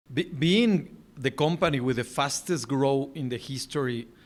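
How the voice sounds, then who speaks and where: Pitch shifts in an ordinary way. The voice is in a Spanish accent. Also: man. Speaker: podcast host. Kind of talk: interview. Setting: video call.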